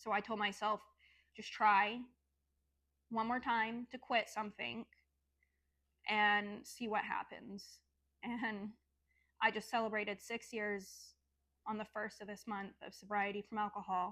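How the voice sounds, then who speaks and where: A woman's fairly high, bright, sharp voice with an American accent, monotone and flat, broken by long, frequent pauses. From Oklahoma, US. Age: 30s. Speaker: vlogger sharing life story. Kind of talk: personal testimony. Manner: casual, conversational with fillers.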